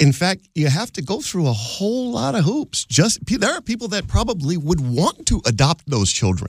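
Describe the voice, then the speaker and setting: Somewhat breathy and fairly high-pitched, a man speaks with very wide pitch swings in a dry, close sound with no echo. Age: 50s. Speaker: radio talk show host. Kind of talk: call-in radio talk show.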